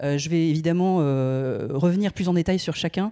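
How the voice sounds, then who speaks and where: The background is quiet as a woman talks at a moderate pace. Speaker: video game industry professional. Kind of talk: presentation. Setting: stage with audience. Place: stage. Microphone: handheld.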